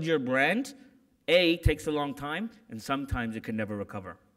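Lively intonation at a fairly quick pace, against a quiet background. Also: man. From Canada. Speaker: corporate security executive; keynote speaker. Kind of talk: keynote speech. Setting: conference stage with audience. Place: hall. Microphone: podium.

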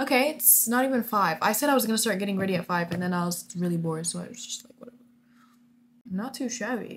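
Amid light background noise, a woman speaks at a very fast pace in an animated tone with ordinary pitch variation. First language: Arabic. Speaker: vlogger. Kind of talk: casual vlog, monologue to camera, mixing English and Arabic. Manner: animated, casual, code-switching. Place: home room. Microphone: webcam.

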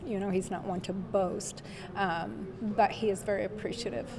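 A woman talks with normal pitch variation as noticeable background noise plays. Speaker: relative of honored veteran. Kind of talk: interview answer. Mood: warm, proud, moved. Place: church. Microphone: handheld.

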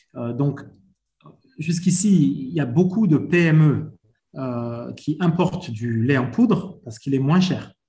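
The speaker has a French accent and a dark, mellow tone. Intonation is lively, broken by long, frequent pauses. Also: man. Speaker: dairy business leader. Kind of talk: panel discussion. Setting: video call. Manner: repetitive, stumbling.

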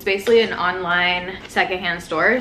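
Fairly low for a woman, her voice moves at a moderate pace with fairly even intonation. Noticeable background noise sits behind it. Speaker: beauty vlogger. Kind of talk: casual vlog chat. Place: home room. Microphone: phone near.

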